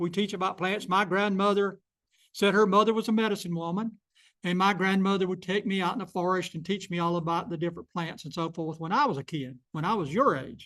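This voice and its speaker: A man with a high pitch and a bright, sharp tone talks at a fairly quick pace with ordinary pitch variation over a quiet background. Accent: South Carolina. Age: 70s. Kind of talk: public talk.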